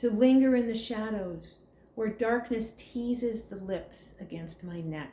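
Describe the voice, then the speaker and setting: A woman speaks at a very slow pace in a gentle, dark, mellow tone, somewhat breathy, with lively intonation. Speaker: poetry reader. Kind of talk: prose poetry reading.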